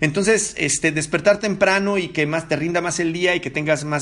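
Using fairly even intonation, a man talks at a moderate pace in a fairly high pitch. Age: 40s. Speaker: podcast host. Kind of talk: solo podcast monologue. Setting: living room at home. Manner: halting, many fillers.

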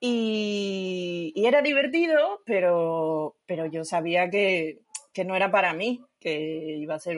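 An unremarkable speaking voice runs on with hardly any pauses. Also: woman. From Asturias, Spain. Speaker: yarn shop owner and knitter. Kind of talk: casual interview.

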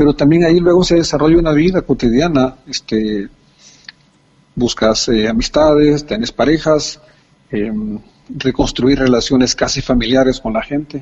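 This man's voice sits fairly high and has ordinary pitch variation. He keeps a moderate pace, with long, frequent pauses. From El Salvador. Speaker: poet. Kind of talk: interview.

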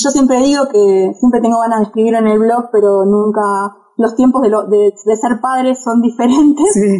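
This voice has a dark, mellow tone and fairly even intonation, holding a very even loudness at a moderate pace with hardly any pauses. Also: woman, fairly high pitch for a woman. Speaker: travel blogger and journalist. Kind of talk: interview. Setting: remote call from home.

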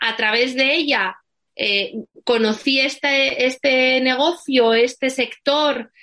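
A woman's high-pitched, raised and projected voice, bright and sharp in tone, at a very slow pace. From Asturias, Spain. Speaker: wedding planner. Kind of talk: interview.

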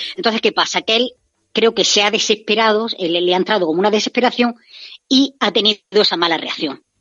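A fairly high-pitched woman's voice at a fairly quick pace, with very even loudness and ordinary pitch variation. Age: 30s. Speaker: reality TV fan commentator. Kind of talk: radio interview, casual chat. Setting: remote call-in from abroad. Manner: animated. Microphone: clear line.

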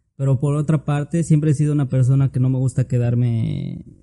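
A dark, mellow, somewhat breathy tone with fairly even intonation. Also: man. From Tlaxcala, Mexico. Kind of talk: casual chat.

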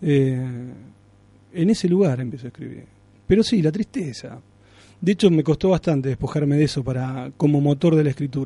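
A man talks at a fairly high pitch with ordinary pitch variation and a dark, mellow tone. His voice is somewhat breathy, with long, frequent pauses. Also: moderate pace. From Argentina, Santa Fe province (Alcorta). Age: 30s. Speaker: writer. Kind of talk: radio interview.

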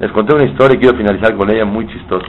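Audible room echo is present. A man speaks with a fairly low pitch and ordinary pitch variation. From Mexico. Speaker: rabbi. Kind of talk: sermon.

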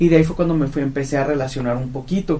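A man is speaking. There is audible room echo. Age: 20s. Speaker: travel agency founder. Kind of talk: interview.

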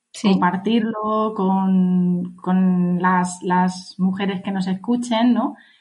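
A woman talks with fairly even intonation and a somewhat breathy quality. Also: quiet background. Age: 30s. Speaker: podcast co-host, health coach. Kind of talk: casual chat. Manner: halting.

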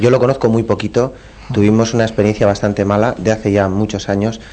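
Over noticeable background noise, a man speaks with a fairly low pitch. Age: 30s. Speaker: travel agency member. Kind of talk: radio interview.

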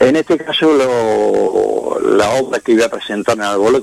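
The sound of this man's voice is dry and close with no echo, with noticeable background noise. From Andalusia, Spain (Quesada, Jaén province). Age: 70s. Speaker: painter. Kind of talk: radio interview.

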